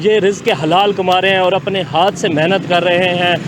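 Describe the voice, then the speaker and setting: Noticeable background noise runs under the recording. A man speaks at a high pitch. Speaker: field reporter. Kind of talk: TV news field report.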